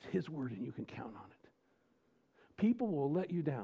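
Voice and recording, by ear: A man with a fairly high pitch speaks at a moderate pace, his dark, mellow tone carrying vocal fry, a slightly husky edge and big pitch swings.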